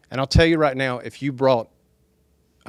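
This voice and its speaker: On a very clean recording with a silent background, a man with a Southern US accent speaks at medium pitch. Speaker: speaker for a development project at a town hall. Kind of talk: public speech at a town hall meeting. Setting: town hall meeting with audience. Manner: soft-spoken, quiet talker.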